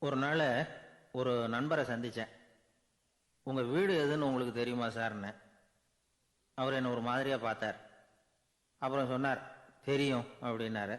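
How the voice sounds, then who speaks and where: A man's medium-pitched voice holds a fairly even intonation. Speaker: orator, radio presenter. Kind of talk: storytelling speech with anecdotes. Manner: simple colloquial, conversational.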